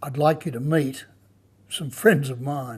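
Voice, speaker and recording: Over music in the background, a man with an Australian accent and a fairly high voice speaks at a moderate pace with ordinary pitch variation. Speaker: food and wine show host. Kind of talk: presenting to camera.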